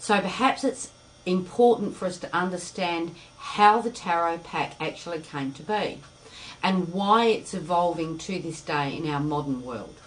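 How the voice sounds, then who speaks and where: With audible room echo and noticeable background noise, the voice moves at a moderate pace, with lively intonation and big swings in loudness. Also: woman, fairly low pitch for a woman. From Australia. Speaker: spiritual teacher. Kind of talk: lecture.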